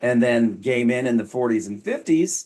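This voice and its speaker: At a medium pitch, a man talks with a moderate pace. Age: 50s; old. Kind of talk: casual educational talk to camera. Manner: wry, humorous.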